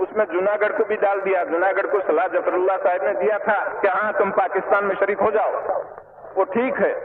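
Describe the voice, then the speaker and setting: At a moderate pace, the voice holds very even loudness and fairly even intonation against noticeable background noise. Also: man, high pitch for a man. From India. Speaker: statesman, India's first home minister. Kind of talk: public political speech to a large crowd. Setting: outdoor rally, old recording. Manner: plain, blunt, conversational.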